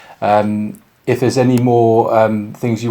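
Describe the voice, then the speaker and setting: In a Bristolian accent, a man speaks with monotone, flat intonation. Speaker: police sergeant. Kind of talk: public information talk. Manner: halting, many fillers.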